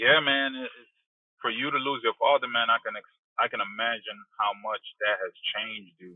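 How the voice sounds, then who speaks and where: Here a man talks at a moderate pace. His loudness swings widely from moment to moment. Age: 30s. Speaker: podcast host. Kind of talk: casual interview.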